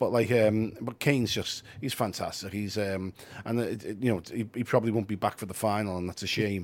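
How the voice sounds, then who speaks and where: A man with a Liverpool accent, his pitch fairly low and his intonation fairly even. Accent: Scouse. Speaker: football writer. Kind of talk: casual chat. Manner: halting.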